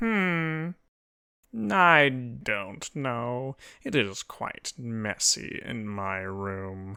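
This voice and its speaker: A put-on character voice from a man, nasal and pompous with a smug tone, medium in pitch and very slow in pace, on a very clean recording with a silent background. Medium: read story. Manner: pompous, smug.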